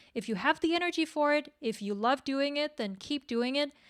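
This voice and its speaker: In a very clean recording with a silent background, a woman with a non-native accent talks with ordinary pitch variation. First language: not English. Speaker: webcomic creator. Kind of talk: workshop discussion. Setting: livestream. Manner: halting.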